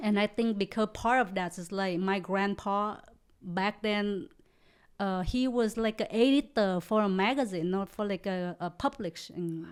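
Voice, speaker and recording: A speaker with a Vietnamese accent talks at a fairly slow pace with ordinary pitch variation. The recording is very clean, with a silent background. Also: woman, medium pitch for a woman. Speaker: comedian. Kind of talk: casual chat. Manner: halting.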